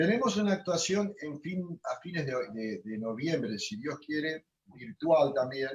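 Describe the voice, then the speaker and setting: This man talks at a fairly slow pace, his voice somewhat breathy. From Argentina, Rosario (Santa Fe). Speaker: chamamé accordionist. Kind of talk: interview. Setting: video call. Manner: halting, many repetitions.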